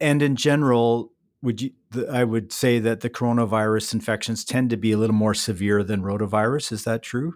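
Recorded very cleanly with a silent background, a man talks at a fairly quick pace. He has an ordinary speaking voice, medium in pitch, with fairly even intonation. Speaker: veterinarian podcast host. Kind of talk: interview.

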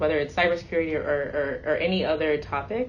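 A woman speaks at a fairly quick pace with a very deep, low pitch. Her intonation is fairly even, and the room echo is audible. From US, Nigerian immigrant family. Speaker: cybersecurity company CEO. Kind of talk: interview conversation.

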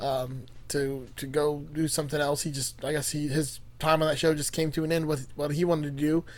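At a moderate pace, a man talks at a fairly high pitch in a normal speaking voice, captured on a very clean recording with a silent background. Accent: American. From Miami, Florida. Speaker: podcast co-host. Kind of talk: casual chat.

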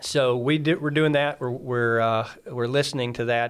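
A man with an American accent has an ordinary speaking voice at a medium pitch, with fairly even intonation. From Mississippi, US. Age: 30s. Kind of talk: testimony. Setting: studio.

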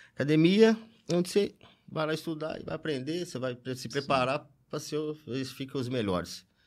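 On a very clean recording with a silent background, a man speaks at a moderate pace and fairly high pitch, with very wide pitch swings. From interior of São Paulo state, Brazil. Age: 40s. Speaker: football fan. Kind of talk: casual chat. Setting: studio.

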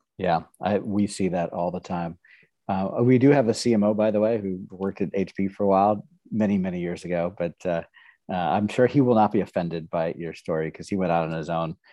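Fairly quick speech from a man with a very deep, low pitch and ordinary pitch variation. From Nebraska, US Midwest. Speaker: podcast host. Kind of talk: interview.

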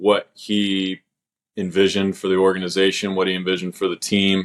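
On a very clean recording with a silent background, a man with an American accent and a very deep, low pitch talks at a moderate pace. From Oklahoma City, Oklahoma. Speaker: professional baseball pitcher. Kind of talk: interview, casual chat. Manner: hesitant, many fillers.

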